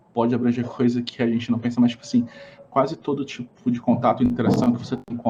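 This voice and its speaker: Male speaker at a fairly quick pace, medium pitch, with noticeable background noise. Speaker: innovation consultant. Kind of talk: podcast interview.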